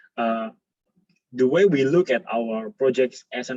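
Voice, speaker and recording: A man with a non-native accent at a fairly slow pace, quiet background. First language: not English. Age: 20s. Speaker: architect. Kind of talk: lecture. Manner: halting, many fillers. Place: home room. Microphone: webcam.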